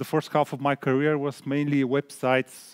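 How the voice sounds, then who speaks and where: The voice has a Bulgarian accent and moves at a fairly slow pace in a monotone, flat delivery. The sound is dry and close, with no echo. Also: man. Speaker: product designer. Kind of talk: conference talk. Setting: stage with audience. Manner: halting, many fillers.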